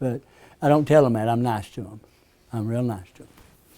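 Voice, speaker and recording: A man with an Appalachian accent talks at a very fast pace in a dark, mellow tone. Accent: Southern US (Appalachian). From US South, East Tennessee. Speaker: hypnotherapist teaching a class. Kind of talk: lecture to a class. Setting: classroom with group. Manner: conversational, asks the audience questions.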